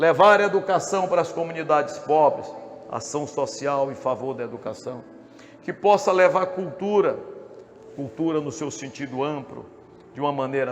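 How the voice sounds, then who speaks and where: A man talks at a moderate pace with a fairly high pitch and ordinary pitch variation. Music plays in the background. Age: 60s. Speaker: politician. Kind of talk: campaign speech. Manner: formal.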